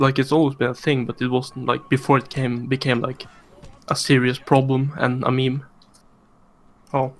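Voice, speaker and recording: The speech moves at a moderate pace in a monotone, flat intonation, broken by long, frequent pauses. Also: man, medium pitch for a man. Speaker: gamer in stream voice chat. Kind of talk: casual chat. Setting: online voice chat.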